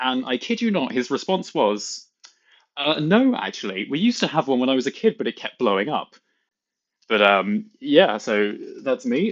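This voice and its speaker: Using very wide pitch swings, a man with a British accent speaks at a fairly high pitch. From UK. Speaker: content creator. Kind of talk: reading aloud.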